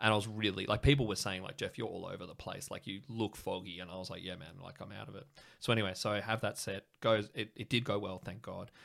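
A man with an Australian accent talks at a very fast pace in a fairly low pitch, with hardly any pauses, fairly even intonation and big swings in loudness. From Sydney, Australia. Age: 30s. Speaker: English teacher, comedian guest. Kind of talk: casual chat, interview. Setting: home studio. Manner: chatty, rambling, filler-heavy.

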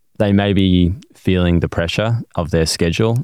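A man's dark, mellow tone at a fairly quick pace, with fairly even intonation. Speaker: podcast host. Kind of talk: casual interview.

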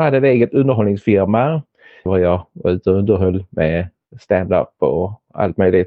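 Moderate pace, ordinary pitch variation and very even loudness. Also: man, fairly low pitch for a man. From Helsingborg, southern Sweden. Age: 50s. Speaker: stroke survivor, former actor and entertainer. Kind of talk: casual interview. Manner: halting, many repetitions.

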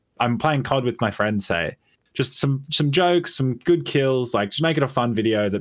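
Speaking fairly quickly, a man talks in an Australian accent. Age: 20s. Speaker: gaming YouTuber. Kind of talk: casual chat.

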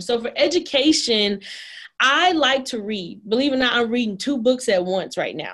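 A woman in an ordinary speaking voice, fairly high in pitch, with lively intonation, a moderate pace and an American accent. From Dallas, Texas (Oak Cliff). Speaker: dentist and practice owner. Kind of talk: interview conversation.

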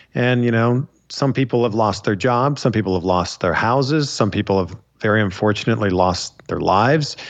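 With an unremarkable speaking voice, a man talks at a fairly quick pace and medium pitch with ordinary pitch variation and very even loudness against a quiet background. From Canada, Pickering, Ontario. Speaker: wrestling interviewer. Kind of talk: casual interview chat.

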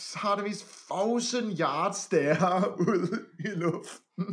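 Talking very slowly, a man uses a high pitch with ordinary pitch variation. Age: 20s. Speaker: podcast co-host reviewing a reality TV show. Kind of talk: casual chat.

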